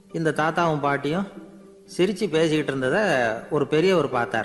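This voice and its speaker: Music plays in the background as a man speaks at a fairly high pitch with ordinary pitch variation. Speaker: radio host and orator. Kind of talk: radio anecdote storytelling. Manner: simple colloquial, conversational.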